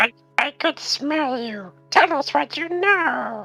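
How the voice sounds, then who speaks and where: A squeaky, high-pitched put-on character voice goes at a fairly slow pace over faint music in the background. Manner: interrogating, threatening.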